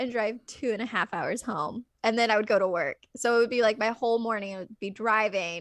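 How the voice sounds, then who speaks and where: Recorded dry and close with no echo on a very clean track with a silent background, a woman with an American accent speaks at a fairly high pitch with ordinary pitch variation and hardly any pauses. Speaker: actress. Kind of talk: casual chat. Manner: loud.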